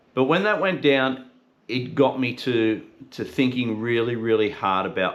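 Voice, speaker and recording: Fairly slow speech from a man with an Australian accent. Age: 50s. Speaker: podcast host. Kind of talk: casual talk to camera. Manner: unscripted, conversational.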